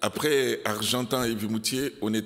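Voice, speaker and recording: A very slow pace marks this speech. The accent is non-native. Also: man. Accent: foreign accent in French. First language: not French, learned it from Belgians (speaking French). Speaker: pastor. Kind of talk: sermon. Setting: church. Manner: halting, many fillers.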